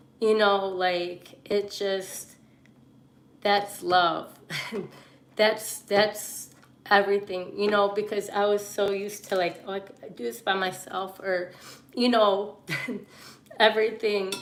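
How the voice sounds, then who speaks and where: Against noticeable background noise, a woman talks at a very slow pace with long, frequent pauses and fairly even intonation. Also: medium pitch for a woman. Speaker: livestreamer. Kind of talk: live stream monologue. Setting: live stream. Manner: halting, filler-heavy.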